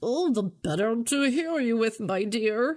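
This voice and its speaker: The speaker puts on a character voice pitched fairly high. The pace is fairly slow. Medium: read story. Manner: sly, falsely polite.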